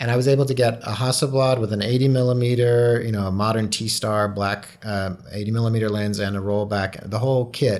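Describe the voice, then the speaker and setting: In a plain, everyday voice, a man of medium pitch talks at a fairly quick pace with fairly even intonation and hardly any pauses. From moved around the US (born in Hawaii). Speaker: photographer. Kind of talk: interview.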